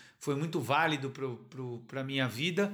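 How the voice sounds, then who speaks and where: The man speaks with ordinary pitch variation. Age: 40s. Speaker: novelist. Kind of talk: interview. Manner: hesitant, many fillers.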